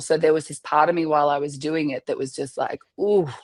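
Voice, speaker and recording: An Australian accent at a moderate pace, with ordinary pitch variation and a quiet background. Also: woman. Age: 30s. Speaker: army veteran and wedding photographer. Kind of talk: podcast interview.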